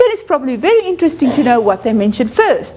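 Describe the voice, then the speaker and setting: A woman's high-pitched voice with very wide pitch swings, a fairly quick pace, and noticeable background noise. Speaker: university lecturer. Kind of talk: lecture.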